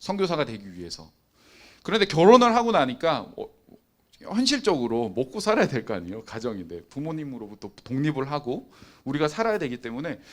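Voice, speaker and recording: A man with a fairly high pitch talks at a fairly quick pace, using very wide pitch swings and big swings in loudness. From Busan, South Korea. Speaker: youth pastor (preacher). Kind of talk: sermon. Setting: online Zoom service.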